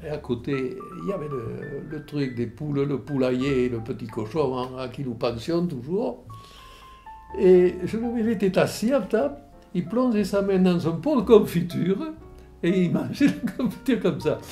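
Faint music sits in the background. A man speaks at a fairly slow pace. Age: 80s+. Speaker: war veteran. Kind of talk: interview answer. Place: home room.

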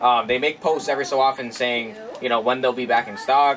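A man speaks at a fairly quick pace. Light background noise sits behind him. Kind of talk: casual vlog chat. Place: garage.

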